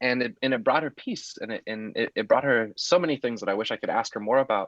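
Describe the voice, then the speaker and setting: Talking at a very fast pace, a man with an American accent holds a medium pitch. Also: ordinary pitch variation. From US Pacific Northwest. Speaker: poet. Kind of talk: webinar talk. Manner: halting, many fillers.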